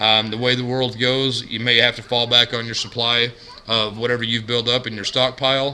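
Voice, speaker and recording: A man speaks with fairly even intonation while noticeable background noise carries on. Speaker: couponing vlogger. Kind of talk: casual vlog monologue. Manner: monotone.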